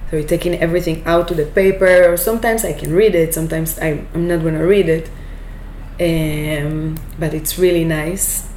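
Amid audible room echo and noticeable background noise, a woman with an Israeli accent talks at a moderate pace and a fairly low pitch. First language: Hebrew. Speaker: business owner. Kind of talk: interview.

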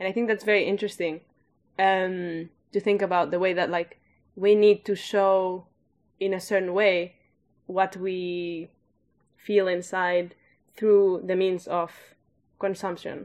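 A woman's medium-pitched, monotone, flat delivery at a fairly slow pace, with long, frequent pauses and a quiet background. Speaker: podcast co-host. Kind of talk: casual discussion.

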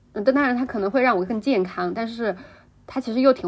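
A woman at a fairly high pitch with ordinary pitch variation and a fairly quick pace. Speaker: podcast co-host. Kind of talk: casual chat. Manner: many filler sounds, hesitant.

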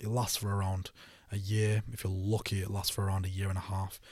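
A man with a fairly low pitch talks at a very fast pace, sounding somewhat breathy. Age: 20s. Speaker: e-commerce entrepreneur. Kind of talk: casual interview. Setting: studio. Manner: halting.

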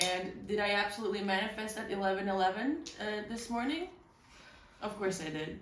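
A woman with a medium pitch speaks at a fairly quick pace. Noticeable background noise is present. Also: ordinary pitch variation. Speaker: stand-up comedian and podcast co-host. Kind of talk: casual comedic chat. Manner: loud; animated.

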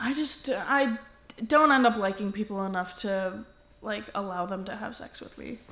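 Lively intonation marks this woman's medium-pitched voice at a moderate pace. Her loudness swings a lot over noticeable background noise. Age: 20s. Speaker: podcast co-host. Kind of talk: casual chat.

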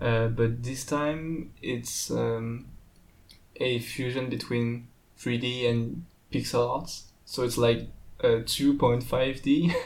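A man with a French accent, very slow pace and fairly even intonation, plus audible room echo. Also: medium pitch for a man. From France. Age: young. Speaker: pixel art student. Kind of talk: casual interview. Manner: halting.

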